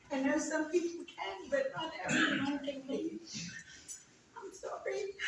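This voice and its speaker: In a room with audible echo, a woman with an extremely high pitch speaks fairly slowly with lively intonation and long, frequent pauses. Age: 60s. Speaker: resident speaking at town hall. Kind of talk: testimony. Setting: town hall meeting. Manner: halting.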